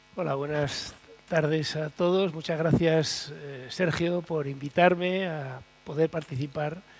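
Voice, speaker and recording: A man at a fairly high pitch, very slow pace, with noticeable background noise. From Aragon, Spain (Monzón, Huesca). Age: 60s. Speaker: retired hurdler. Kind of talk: panel talk. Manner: animated storytelling.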